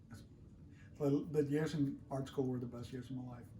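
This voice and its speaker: A man's dark, mellow, somewhat breathy voice at a moderate pace, monotone and flat, with audible room echo. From Colombia. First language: Spanish. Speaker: artist. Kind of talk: interview.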